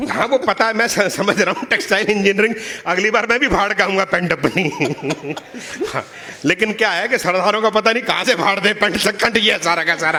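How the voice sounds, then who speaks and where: A man's raised, projected voice, high-pitched and animated in tone, at a moderate pace over noticeable background noise. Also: ordinary pitch variation. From Punjab, India. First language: Punjabi (speaking Hindi). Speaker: poet. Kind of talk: stage talk at a poetry event. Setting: stage with audience.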